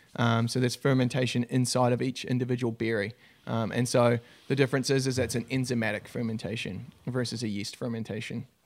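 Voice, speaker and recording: With a New Zealand accent, a man at a medium pitch speaks very fast in a monotone, flat intonation. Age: 30s. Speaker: winemaker. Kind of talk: casual chat.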